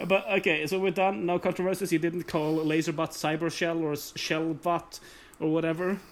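A man with a non-native accent and a high pitch talks at a moderate pace. His intonation is monotone and flat, and his loudness stays very even. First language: not English. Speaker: podcast co-host and video editor. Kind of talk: casual chat.

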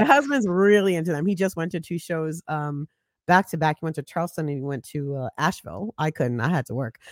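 In a New York accent, a woman with a fairly low pitch talks at a very fast pace with lively intonation. The recording is very clean, with a silent background. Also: dry, close sound with no echo. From Brooklyn, New York (Flatbush). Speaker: digital strategist and podcaster. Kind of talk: casual chat.

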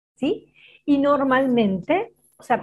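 A woman in a Rioplatense accent with ordinary pitch variation. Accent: Argentine Spanish (rioplatense). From Argentina. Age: 40s. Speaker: psychologist. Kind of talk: interview conversation.

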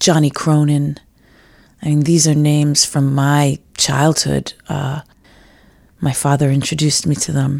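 Someone with an American accent speaks at a fairly slow pace in a monotone, flat intonation, with long, frequent pauses. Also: woman, very deep, low pitch for a woman. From New York City, Manhattan. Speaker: fiddler and composer. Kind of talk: interview.

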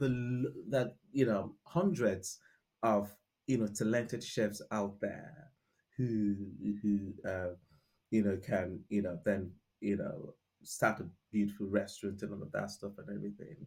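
A man speaks with a Nigerian accent at a fairly low pitch. He leaves long, frequent pauses. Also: ordinary pitch variation. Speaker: restaurant founder. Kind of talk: interview conversation. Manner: halting, many fillers.

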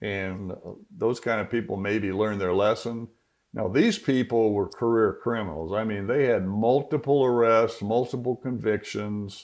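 Against a quiet background, a man with an American accent and a plain, everyday voice talks at a fairly slow pace with a medium pitch and ordinary pitch variation. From US Southwest (Phoenix, Arizona). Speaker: retired homicide detective. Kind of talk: interview.

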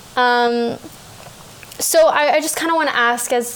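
Amid noticeable background noise, a woman with a Canadian accent speaks at a high pitch. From Canada. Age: 20s. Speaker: podcast host. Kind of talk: interview conversation.

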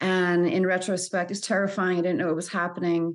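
A normal speaking voice comes through with an American accent. The pace is fairly quick and the background quiet. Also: woman. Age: 40s. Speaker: anxiety coach. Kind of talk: interview.

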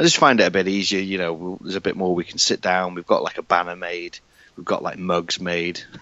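In a British accent, the speaker goes at a very fast pace with monotone, flat intonation and big swings in loudness. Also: man, very deep, low pitch for a man. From UK. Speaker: podcaster and filmmaker. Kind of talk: casual chat.

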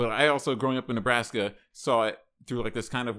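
A man talks at a fairly quick pace in a medium pitch. He has an unremarkable speaking voice. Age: 30s. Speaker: podcast co-host and comedian. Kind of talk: casual chat.

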